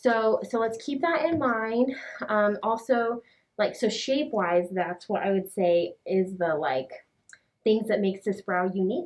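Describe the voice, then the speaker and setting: Having a plain, everyday voice, a woman with a fairly high pitch talks at a fairly slow pace with lively intonation. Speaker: brow artist. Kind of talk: client consultation. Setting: in-person session, wearing a mask. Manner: casual, filler-heavy.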